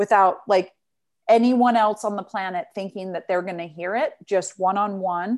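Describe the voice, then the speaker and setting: A woman with a Western US accent and fairly even intonation. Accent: General American (Western US). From Utah, US. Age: 40s. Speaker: resilience coach. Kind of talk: casual interview. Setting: video call.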